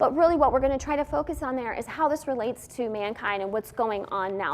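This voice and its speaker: Over noticeable background noise, a woman with a high pitch talks at a very fast pace with lively intonation. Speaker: Bible teacher. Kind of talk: Bible teaching on a church talk show.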